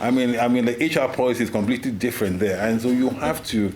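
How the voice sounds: A man's fast, medium-pitched voice with ordinary pitch variation over clear background noise.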